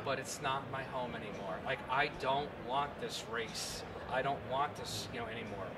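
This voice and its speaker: Over loud background noise, a man with an American accent speaks at a moderate pace. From New York, Long Island. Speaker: gunsmith and TV host. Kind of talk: interview answer. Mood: animated, humorous storytelling. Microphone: handheld.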